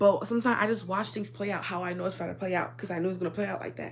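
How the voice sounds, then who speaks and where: A woman is heard with audible room echo. Music plays in the background. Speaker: YouTuber. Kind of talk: casual storytime monologue. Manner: stutters a lot.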